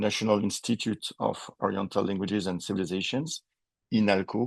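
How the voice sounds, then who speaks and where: A man with a French accent, fairly even intonation, a quiet background and a dry, close sound with no echo. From French Polynesia, Tahiti. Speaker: linguistics professor. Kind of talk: lecture.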